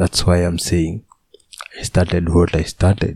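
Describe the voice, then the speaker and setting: The voice is somewhat breathy, in a Kenyan accent with monotone, flat intonation and a dry, close sound with no echo. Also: man. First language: Kikuyu or Swahili. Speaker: youtuber and podcaster. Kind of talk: solo casual monologue. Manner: halting, with frequent repetitions.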